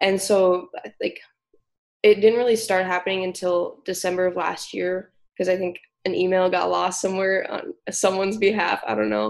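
With fairly even intonation, a plain, everyday voice proceeds at a moderate pace. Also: woman, medium pitch for a woman. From US Upper Midwest (South Dakota). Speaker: golf management student. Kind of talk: podcast interview.

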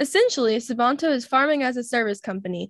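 A woman talks at a fairly high pitch with a fairly bright tone. She goes at a fairly quick pace with ordinary pitch variation.

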